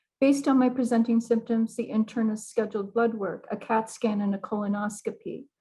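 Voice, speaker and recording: In an American accent, a woman talks at a fairly quick pace with hardly any pauses, her fairly high voice somewhat breathy and dark and mellow in tone, her intonation monotone and flat. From US Midwest, South Bend, Indiana. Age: 60s. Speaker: cancer patient. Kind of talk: testimony. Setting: video call. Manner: formal.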